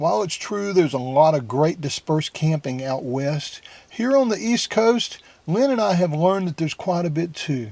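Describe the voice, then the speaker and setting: In a Southern US accent, a man speaks with a high pitch and very wide pitch swings. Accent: southern US drawl. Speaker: van-life vlogger. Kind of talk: vlog intro to camera.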